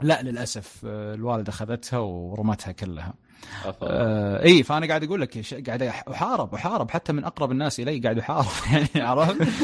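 This man talks at a moderate pace with lively intonation and a medium pitch. He has an ordinary speaking voice. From Saudi Arabia, Dammam. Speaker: tech content creator. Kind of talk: casual chat.

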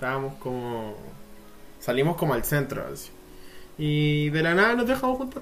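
Amid audible room echo, a man with a fairly high pitch speaks at a moderate pace with very wide pitch swings and long, frequent pauses. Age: young. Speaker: podcast co-host. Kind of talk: casual chat. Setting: outdoors.

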